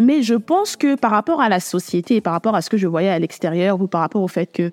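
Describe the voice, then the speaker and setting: A woman with a plain, everyday voice speaks at a fairly quick pace and a medium pitch. The sound is dry and close, with no echo. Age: 20s. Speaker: podcast host. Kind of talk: solo podcast monologue. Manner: casual, intimate address to listener.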